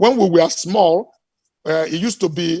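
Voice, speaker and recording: With ordinary pitch variation, a man talks at a moderate speed in a high register. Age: 60s. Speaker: business executive. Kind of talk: interview.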